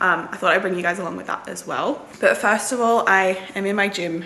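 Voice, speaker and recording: A woman with an Australian accent speaks at a moderate pace with fairly even intonation. The room echo is audible, and background noise is noticeable. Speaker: nursing student vlogger. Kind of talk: casual vlog.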